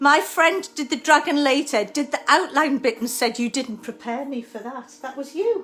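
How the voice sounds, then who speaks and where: A woman with a Geordie accent speaks at a moderate pace in a high voice, with lively intonation and hardly any pauses. Her loudness swings widely, and music plays in the background. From Newcastle, northern England. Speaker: art teacher. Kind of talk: tutorial.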